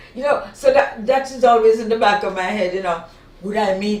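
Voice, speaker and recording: A woman with a Jamaican accent speaks at a moderate pace amid noticeable background noise. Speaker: talk show panelist. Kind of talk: casual chat.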